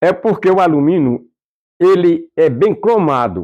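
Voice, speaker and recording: In a quiet background, a man speaks with a dark, mellow tone at a fairly high pitch. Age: 80s+. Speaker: folk fife musician. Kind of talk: documentary interview. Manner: halting, repetitive.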